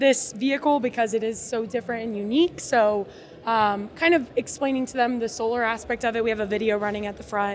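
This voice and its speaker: An unremarkable speaking voice from a woman with an American accent, fairly high in pitch with ordinary pitch variation. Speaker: company representative. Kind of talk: interview. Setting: trade fair booth.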